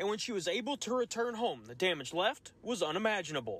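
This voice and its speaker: Lively intonation at a very fast pace, dry with no echo. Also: man. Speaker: TV news reporter. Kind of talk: TV news field report.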